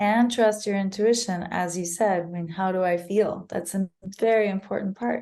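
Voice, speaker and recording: A woman with an American accent talks at a moderate pace in a medium pitch. She has an ordinary speaking voice with fairly even intonation. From United States. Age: 30s. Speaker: mental health advocate. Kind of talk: podcast interview.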